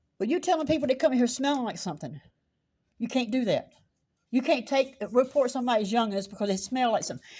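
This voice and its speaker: A woman's loud, very fast, high-pitched voice in a South Carolina accent, dark and mellow in tone, with lively intonation, on a very clean recording with a silent background. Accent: Southern US (South Carolina). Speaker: citizen journalist. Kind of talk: confrontational street vlog.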